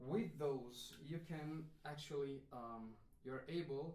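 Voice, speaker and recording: A man with a non-native accent speaks at a very slow pace. Audible room echo surrounds his voice. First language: not English. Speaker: musician and instrument demonstrator. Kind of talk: live stream tutorial. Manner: halting, many fillers.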